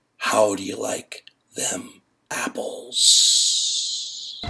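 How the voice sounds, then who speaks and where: Over faint music in the background, a man performs a put-on character voice that is raspy and extremely high for a man. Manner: hissing, sly.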